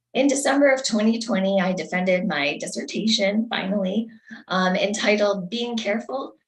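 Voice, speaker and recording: Somewhat breathy, a woman with an American accent speaks at a moderate pace in a medium pitch with ordinary pitch variation. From US Northeast. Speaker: election candidate. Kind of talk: candidate statement. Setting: video call.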